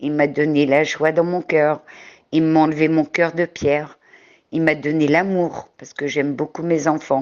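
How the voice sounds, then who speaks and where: Her pitch very deep and low, a woman talks at a fairly slow pace in a monotone, flat delivery. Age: 60s. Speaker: testimony giver. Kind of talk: testimony. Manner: halting.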